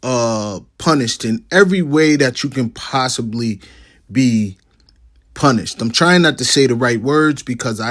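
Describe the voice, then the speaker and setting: A man's medium-pitched voice with ordinary pitch variation, on a very clean recording with a silent background. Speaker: online video creator. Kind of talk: commentary monologue. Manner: slow, deliberate.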